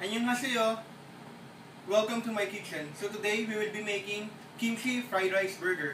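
A man's high voice at a moderate pace, with fairly even intonation over noticeable background noise. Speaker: home cook. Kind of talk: cooking tutorial, casual talk to camera. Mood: friendly, cheerful. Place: kitchen. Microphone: camera far.

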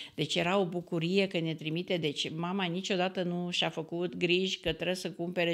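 With hardly any pauses, a woman speaks at a moderate pace, her fairly low pitch delivered in monotone, flat intonation. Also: quiet background. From Romania, Banat region (Timiș county village); Banat, Romania. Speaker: traditional cook; podcast guest. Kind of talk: casual interview. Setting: studio. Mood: warm, nostalgic. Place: studio. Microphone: studio mic.

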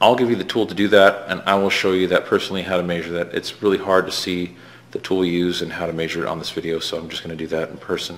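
At a very fast pace, a man speaks in a very deep, low pitch with monotone, flat intonation. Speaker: shop teacher. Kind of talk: tutorial. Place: workshop. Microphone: camera far.

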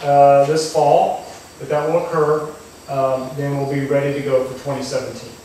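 Strong room echo fills the recording, along with light background noise. The delivery is at a fairly slow pace. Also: man. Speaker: presenter. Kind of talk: presentation to farmers. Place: hall. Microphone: camera far.

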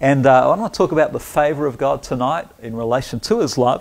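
A man talks at a moderate pace. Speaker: pastor. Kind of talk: sermon. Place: home room. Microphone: lapel.

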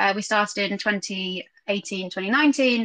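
The woman's tone is bright and sharp, with ordinary pitch variation. The background is quiet. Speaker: guest. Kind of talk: interview answer. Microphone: video call.

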